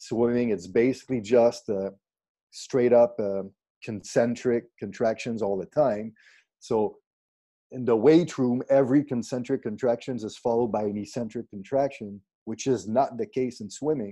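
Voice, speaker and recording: In a Quebec accent, a man speaks at a medium pitch and a moderate pace with fairly even intonation and a dark, mellow tone. The background is quiet. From Quebec, Canada (Granby / Saint-Césaire area). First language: French. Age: 40s. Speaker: strength and conditioning coach. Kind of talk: casual interview conversation. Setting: Skype video call.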